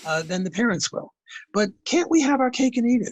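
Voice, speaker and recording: A man talks with very wide swings in pitch. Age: 80s+. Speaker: economist. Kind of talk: casual chat. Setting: video call. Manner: halting.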